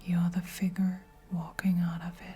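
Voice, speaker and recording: Someone soft-spoken talks with music in the background. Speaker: tarot card reader. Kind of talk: spoken oracle card reading. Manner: slow.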